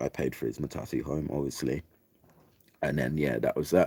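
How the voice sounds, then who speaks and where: In a dry, close recording with no echo, a man with an English accent speaks in a dark, mellow tone marked by vocal fry. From England. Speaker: vlogger. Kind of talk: casual storytelling monologue. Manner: casual, chatty.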